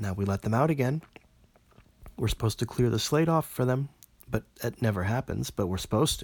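Speaking at a very fast pace, a man uses a medium pitch with ordinary variation, the sound dry and close with no echo. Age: 40s. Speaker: philosophy podcaster. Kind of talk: monologue analysis.

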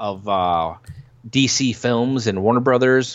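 A man with an unremarkable speaking voice, medium pitch and a fairly slow pace. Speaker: podcast host guest. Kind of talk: casual podcast chat.

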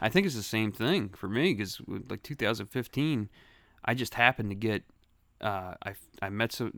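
Recorded very cleanly against a silent background, a man with a Philadelphia accent speaks at a fairly quick pace in a fairly low pitch. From Philadelphia, Grays Ferry. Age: 40s. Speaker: guest, old school friend. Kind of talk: casual chat.

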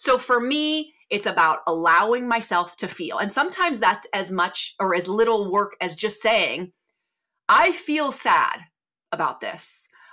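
The recording is very clean with a silent background, and a woman speaks at a fairly slow pace. Her fairly high, bright, sharp voice makes very wide pitch swings. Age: 40s. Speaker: mindset coach and podcast host. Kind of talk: solo podcast monologue. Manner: casual, conversational.

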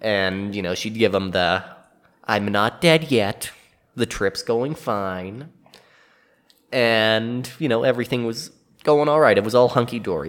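Medium pitch in a man's voice. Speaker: podcast co-host. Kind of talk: storytelling; casual chat. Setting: studio. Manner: soft-spoken.

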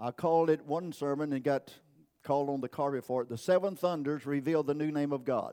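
On a very clean recording with a silent background, a man with a dark, mellow tone talks fairly quickly at a fairly high pitch with fairly even intonation. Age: 80s+. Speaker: pastor. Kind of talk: sermon. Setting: church.

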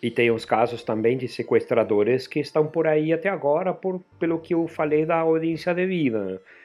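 At a moderate pace and with hardly any pauses, a man speaks in a fairly high voice. His intonation is lively. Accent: Argentine. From Argentina, Buenos Aires. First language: Spanish (speaking Portuguese). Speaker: podcaster. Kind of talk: casual chat.

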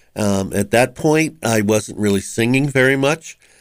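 A man with a Boston accent, medium in pitch, at a fairly slow pace with ordinary pitch variation, on a very clean recording with a silent background. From Boston, Massachusetts (West Roxbury). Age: 70s. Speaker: retired musician and community radio host. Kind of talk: interview. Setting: studio.

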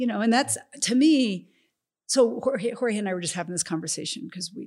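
Her voice is somewhat breathy, with lively intonation. The woman talks at a fairly quick pace. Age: 50s. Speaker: former college soccer coach. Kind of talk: casual interview chat.

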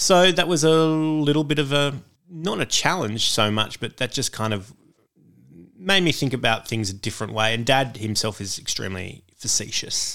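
On a very clean recording with a silent background, a man with an Australian accent speaks at a moderate pace in a medium pitch, his bright, sharp tone full of lively intonation. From Australia, northwest Sydney. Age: 40s. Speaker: comedian. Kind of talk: casual chat.

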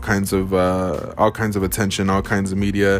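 A man with a fairly low voice can be heard over clearly audible background noise. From US, Mexican-American family. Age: 20s. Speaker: sports podcast host. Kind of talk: solo podcast commentary. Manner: casual, many fillers.

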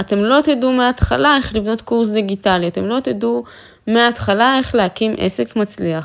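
A woman's fairly high pitch and lively intonation at a moderate pace. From Israel, Afula. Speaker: confidence coach and influencer. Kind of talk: motivational monologue. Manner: animated.

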